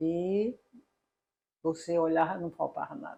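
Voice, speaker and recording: A woman with a fairly low voice talks fairly slowly, her pitch varying in an ordinary way. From Paraíba, Brazil. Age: 60s. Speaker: engineering professor. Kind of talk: interview. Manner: halting.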